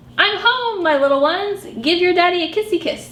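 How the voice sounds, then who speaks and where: A squeaky, put-on character voice speaks at a fairly quick pace over light background noise. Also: woman, extremely high pitch for a woman. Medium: read story. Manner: polite, fussy.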